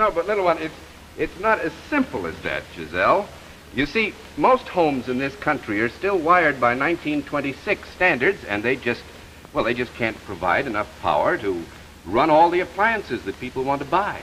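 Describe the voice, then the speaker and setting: A man's fairly high voice with very wide pitch swings, against noticeable background noise. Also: moderate pace. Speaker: TV host. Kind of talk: promotional presentation.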